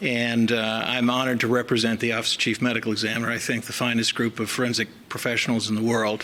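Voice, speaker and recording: Over noticeable background noise, a man with an American accent and a medium pitch talks at a very fast pace with hardly any pauses, monotone, flat intonation and very even loudness. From US South. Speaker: chief medical examiner. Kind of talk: formal speech. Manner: halting with fillers.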